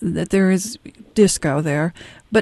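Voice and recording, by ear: A soft-spoken woman talks with a dark, mellow tone and ordinary pitch variation. The sound is dry and close, with no echo.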